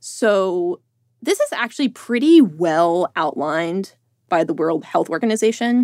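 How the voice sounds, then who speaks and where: On a very clean recording with a silent background, a woman with an unremarkable speaking voice talks at a medium pitch and a fairly slow pace, her intonation lively. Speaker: reporter. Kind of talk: casual interview conversation. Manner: rambling, heavy use of filler words.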